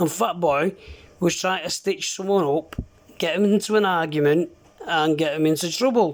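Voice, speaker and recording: A man with a high voice talks at a moderate pace, his pitch varying in an ordinary way. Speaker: CB radio user. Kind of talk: heated argument over radio.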